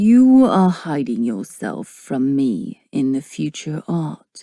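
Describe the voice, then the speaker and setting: A put-on character voice at a low-to-middle pitch drags along at a very slow pace. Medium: read story. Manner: smooth, menacing.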